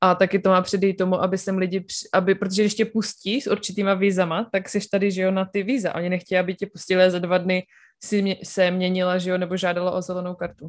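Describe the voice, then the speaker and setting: On a very clean recording with a silent background, a woman rattles off words at a very fast pace with hardly any pauses, her medium-pitched voice monotone and flat. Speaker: podcast co-host. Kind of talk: casual chat.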